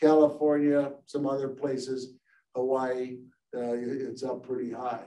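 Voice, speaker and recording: A man with an American accent talks at a fairly slow pace in a monotone, flat delivery with a dark, mellow tone. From US Midwest. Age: 70s. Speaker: engineer and company founder. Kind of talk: lecture. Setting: video call. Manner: halting, many filler words. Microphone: video call.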